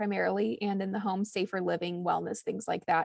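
A woman with a medium-pitched voice and vocal fry talks at a fairly quick pace in a dry, close recording with no echo. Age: 30s. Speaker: cookbook author. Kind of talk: casual chat.

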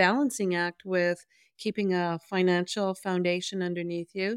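In a very clean recording with a silent background, a woman with an ordinary speaking voice talks at a medium pitch, the sound dry and close with no echo. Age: 60s. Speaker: podcast co-host, rural entrepreneur.

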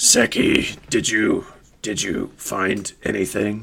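A man puts on a raspy character voice with a fairly low pitch. He speaks at a very slow pace.

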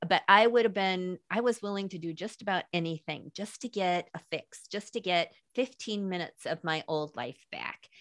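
A woman with an unremarkable speaking voice talks at a medium pitch with ordinary pitch variation on a very clean recording with a silent background. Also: dry, close sound with no echo. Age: 60s. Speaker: author and speaker. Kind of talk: casual chat.

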